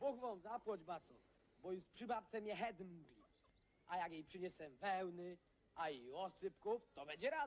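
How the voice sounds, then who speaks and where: At a fairly slow pace, a man with a Podhale accent talks at a high pitch with lively intonation. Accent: Podhale Goral dialect. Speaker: actor in period drama. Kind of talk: scripted film dialogue. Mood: grateful, polite. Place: open country.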